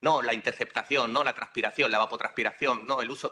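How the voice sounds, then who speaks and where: The speaker is a man. His tone comes across as bright and sharp. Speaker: university professor. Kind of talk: conference talk. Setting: conference hall with live and online audience. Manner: halting, many filler sounds.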